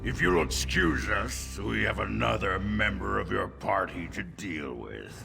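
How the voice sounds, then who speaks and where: Over clear background music, a man performs a put-on character voice at a fairly slow pace with hardly any pauses. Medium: video game. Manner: smug.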